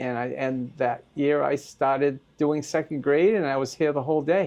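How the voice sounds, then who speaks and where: With a Maine accent, a man keeps a fairly high pitch and fairly even intonation at a moderate pace. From Maine, US. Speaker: school volunteer. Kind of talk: interview. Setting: school. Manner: halting.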